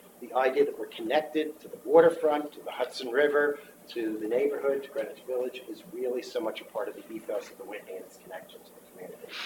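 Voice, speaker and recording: Very fast speech with hardly any pauses and big swings in loudness comes through noticeable background noise. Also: man. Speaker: art historian, museum presenter. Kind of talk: presentation to a board meeting. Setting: board meeting.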